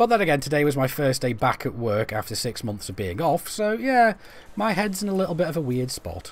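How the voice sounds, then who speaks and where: A man talks at a fairly quick pace in a Stoke accent. His pitch swings very widely. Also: fairly high pitch for a man. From England, Stoke-on-Trent. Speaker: gaming streamer. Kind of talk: live-stream gameplay commentary. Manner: casual, chatty; halting, stumbling over words.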